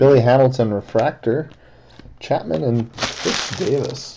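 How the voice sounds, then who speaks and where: The speech moves at a very slow pace. Light background noise sits behind it. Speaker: card break host. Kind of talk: live card break narration. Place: home room. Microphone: webcam.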